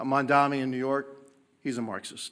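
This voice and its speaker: A man's voice with a bright, sharp tone. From Cuba, raised in Miami. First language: Spanish. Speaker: congressman, former mayor and firefighter. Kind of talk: press conference statement. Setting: press conference.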